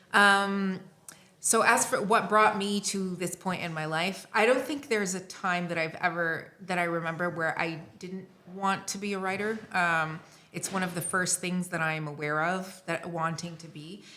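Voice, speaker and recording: With a North American accent, a woman speaks at medium pitch and a moderate pace, her intonation fairly even amid audible room echo. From Lebanon (Beirut). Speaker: writer and editor. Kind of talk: casual chat. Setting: recording in Montpellier.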